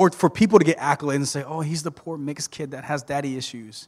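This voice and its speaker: Very fast American accent from a man, fairly high in pitch, ordinary pitch variation, very clean recording, silent background. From US South, South Georgia (Thomasville). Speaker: preacher. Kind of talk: sermon.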